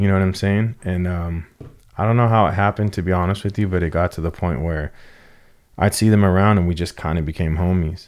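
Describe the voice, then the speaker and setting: A man with an American accent speaks very fast in a very deep, low voice, on a very clean recording with a silent background. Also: fairly even intonation. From Southern California, San Fernando Valley. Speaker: car enthusiast and podcaster. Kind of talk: casual chat.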